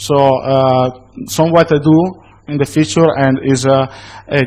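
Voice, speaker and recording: With an Italian accent, a man talks at a moderate pace in a fairly high pitch, with ordinary pitch variation. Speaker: conference speaker. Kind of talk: conference Q&A. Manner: halting.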